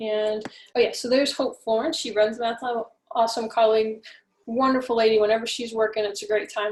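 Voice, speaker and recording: Pitched fairly high, a woman talks in an unremarkable speaking voice. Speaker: math professor. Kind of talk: recorded lecture announcements. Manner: casual with fillers.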